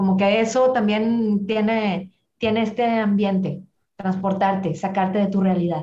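This woman's voice is somewhat breathy and medium in pitch, with a dark, mellow tone. She talks at a fairly slow pace, her intonation fairly even and her loudness very even. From Monterrey, northern Mexico. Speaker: dance promoter. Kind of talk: interview.

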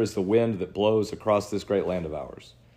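In a quiet background, a man speaks at a fairly quick pace in a normal speaking voice. His pitch is fairly low and his intonation fairly even. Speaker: podcast host. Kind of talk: fervent prayer reading aloud; casual conversational storytelling. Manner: solemn, earnest, reverent delivery.

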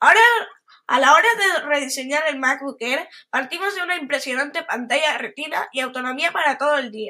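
A woman's high, raised and projected voice with a bright, sharp tone at a fairly quick pace. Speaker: tech podcaster. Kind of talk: reading aloud. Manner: halting.

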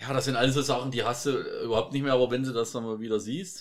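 Medium pitch from a man. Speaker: podcast co-host. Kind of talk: casual chat. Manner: quiet.

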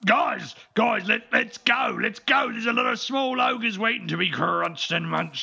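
Putting on a character voice, a man speaks at an extremely high pitch with a raspy sound. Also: moderate pace. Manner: simple, slow, gluttonous.

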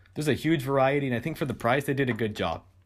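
A man with a West Coast accent is heard in a very clean recording with a silent background. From California, Monterey. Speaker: college student and streamer. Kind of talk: casual chat.

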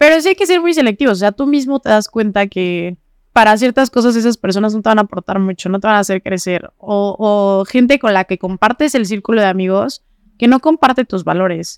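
Her intonation is lively. The woman's pitch is fairly high. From Morelos, Mexico. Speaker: young economist and political activist. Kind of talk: casual interview. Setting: studio.

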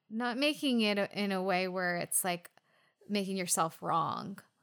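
Recorded very cleanly against a silent background, a woman with an American accent uses an ordinary speaking voice at a medium pitch, with ordinary pitch variation and a fairly slow pace. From US West Coast. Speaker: podcast co-host. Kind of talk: casual chat.

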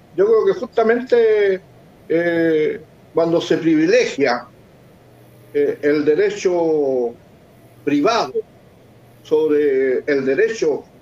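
A man talks at a very slow pace while noticeable background noise runs behind him. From Chile, Lota. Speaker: political candidate, former councillor. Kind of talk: online panel discussion.

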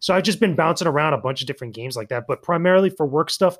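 A man's intonation is lively on this very clean recording with a silent background. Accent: East Coast US. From US East Coast. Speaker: YouTuber and games media content creator. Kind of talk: casual chat.

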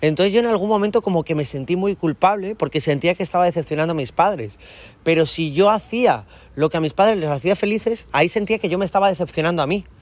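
Very fast and with an animated tone, a man speaks at a high pitch with ordinary pitch variation. The sound is dry and close, with no echo. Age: 20s. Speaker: dating coach. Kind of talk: interview.

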